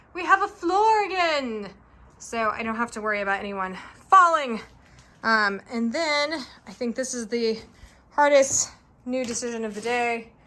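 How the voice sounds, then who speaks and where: A woman talks at a moderate pace, her high pitch carried by lively intonation. Her pauses are long and frequent. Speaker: home renovation vlogger. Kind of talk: casual vlog. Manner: quiet, soft-spoken.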